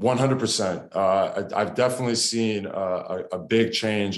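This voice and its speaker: In a Canadian accent, a man talks at a fairly slow pace. His intonation is fairly even, and room echo is audible. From Canada, Toronto. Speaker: professional basketball player. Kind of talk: TV interview. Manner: hesitant, many fillers.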